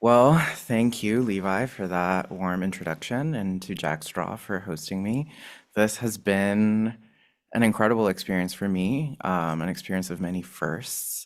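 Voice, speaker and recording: A soft-spoken man with a fairly low pitch talks at a fairly slow pace with ordinary pitch variation, on a very clean recording with a silent background. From Ecuador. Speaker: installation artist. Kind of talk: artist talk. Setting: gallery talk with live audience, also streamed.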